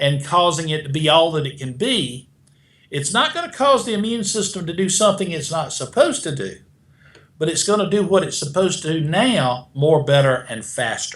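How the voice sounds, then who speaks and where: Using lively intonation, a man with a South Carolina accent talks at a moderate pace in a high pitch. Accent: South Carolina twang. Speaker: beta glucan expert, supplement manufacturer. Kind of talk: interview answer.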